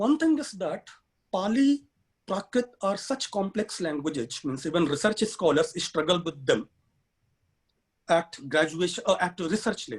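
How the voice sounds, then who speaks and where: At a moderate pace, a man talks. His intonation rises and falls in a lively way. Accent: Indian. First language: Hindi. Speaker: human rights activist and education consultant. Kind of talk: webinar talk.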